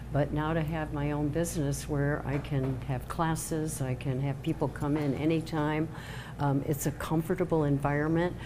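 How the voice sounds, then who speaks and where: A woman with a very deep, low pitch speaks at a moderate pace in an American accent. Her intonation is monotone and flat, her loudness very even, and room echo is audible. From Chicago, US Midwest. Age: 70s. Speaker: tarot card reader. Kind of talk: casual interview. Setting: live-streamed show in a salon.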